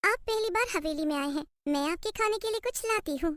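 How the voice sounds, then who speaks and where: A woman's cartoonish character voice, extremely high-pitched, at a fairly quick pace. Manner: sweet, alluring.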